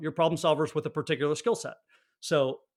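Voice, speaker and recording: This man has an American accent and a fairly high pitch, on a very clean recording with a silent background. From northern New Jersey, near New York City. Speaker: personal trainer. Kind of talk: podcast interview.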